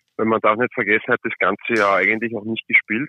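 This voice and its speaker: A man with a fairly low voice speaks in fairly even intonation. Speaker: ice hockey player. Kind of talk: interview. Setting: phone call.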